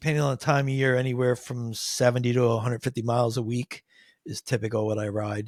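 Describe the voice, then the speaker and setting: A somewhat breathy man with an American accent at a medium pitch, in a dry, close sound with no echo on a very clean recording with a silent background. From Pennsylvania, Nazareth area (Poconos). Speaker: cycling advisor, amateur endurance cyclist. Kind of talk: interview, casual chat.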